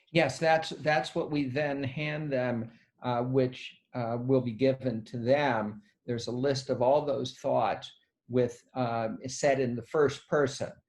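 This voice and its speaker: Here a man talks at a medium pitch. His pace is very slow. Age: 60s. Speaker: psychiatrist. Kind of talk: interview answering questions. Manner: halting.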